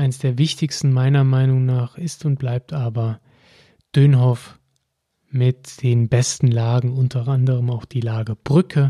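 Somewhat breathy, a man at medium pitch speaks at a fairly slow pace in a monotone, flat intonation. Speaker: wine podcast host. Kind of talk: solo educational podcast. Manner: frequent filler hesitations.

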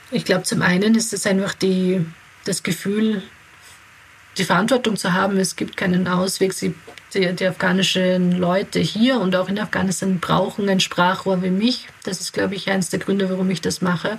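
In an Austrian accent, a woman speaks at a moderate pace and a medium pitch. Her intonation is monotone and flat. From Austria (Graz), from age eight; born in Kabul. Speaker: integration adviser and founder of an aid association. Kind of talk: interview. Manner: hesitant, many fillers.

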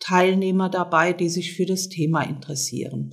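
Woman's voice at medium pitch with ordinary pitch variation. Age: 60s. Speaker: social worker and seminar leader. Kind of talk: interview. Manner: hesitant, with fillers.

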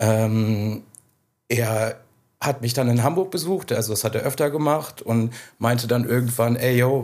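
A man with an ordinary speaking voice talks at a moderate pace and medium pitch, his intonation fairly even. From Germany, Südwestfalen. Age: 30s. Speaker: record label owner. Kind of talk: interview. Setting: in person at the label office.

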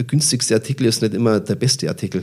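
A man is speaking here. His voice has vocal fry. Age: 50s. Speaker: purchasing manager. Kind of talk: interview. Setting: on site at a company.

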